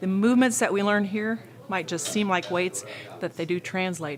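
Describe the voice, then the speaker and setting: This is a woman with a normal speaking voice at a medium pitch. Her pitch variation is ordinary and her pace moderate. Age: 50s. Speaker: gym member, former triathlete. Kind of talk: interview testimony.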